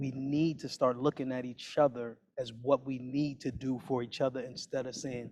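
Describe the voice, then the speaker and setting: Speaking at a moderate pace, the voice runs on with hardly any pauses. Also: man, medium pitch for a man. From New York City. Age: 40s. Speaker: community organizer. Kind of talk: panel discussion. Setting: video call. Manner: animated.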